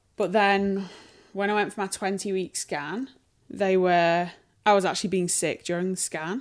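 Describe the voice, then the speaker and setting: A woman speaks in a Sheffield accent at medium pitch with fairly even intonation. The recording is very clean, with a silent background. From northern England, Sheffield. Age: 30s. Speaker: interviewee sharing a pregnancy illness. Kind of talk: casual interview. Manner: slower than usual.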